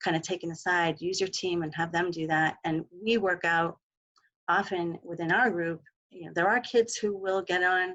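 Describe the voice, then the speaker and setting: Fairly low for a woman, her voice moves at a moderate pace with fairly even intonation. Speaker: mental health clinician. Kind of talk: webinar presentation. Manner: soft-spoken.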